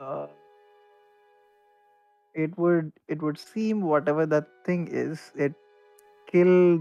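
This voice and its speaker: Faint music plays in the background as a put-on character voice at middle pitch mumbles at a very slow pace with long, frequent pauses. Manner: muffled, mumbling, hard to understand.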